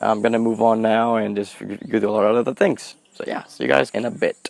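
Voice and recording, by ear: Fairly quick speech from a man with a fairly low pitch, vocal fry and little pitch movement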